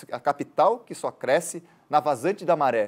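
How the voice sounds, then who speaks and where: The recording is very clean, with a silent background. A man talks at a moderate pace in a high pitch. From Florianópolis, Brazil. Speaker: journalist and tour guide. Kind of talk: interview answer.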